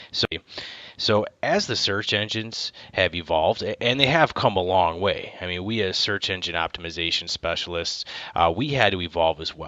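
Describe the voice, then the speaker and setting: A man with a Wisconsin accent speaks at a moderate pace. His pitch is fairly low, with ordinary variation. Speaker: marketing executive. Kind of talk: conference talk.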